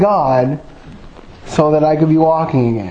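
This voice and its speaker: Amid audible room echo and noticeable background noise, a man is speaking. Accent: American. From Michigan, suburban Grand Rapids. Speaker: lay preacher. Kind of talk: sermon with personal testimony. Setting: church.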